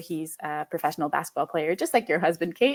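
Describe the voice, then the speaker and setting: The recording is very clean with a silent background. A woman speaks at a fairly low pitch. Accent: French. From Quebec, Canada. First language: French. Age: 20s. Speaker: podcast guest, mother. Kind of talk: interview conversation.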